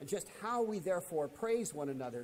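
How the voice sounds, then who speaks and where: This man has a dark, mellow tone. His intonation is lively. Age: 70s. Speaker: Bible class teacher. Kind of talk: lecture. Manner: conversational with frequent fillers and repetitions.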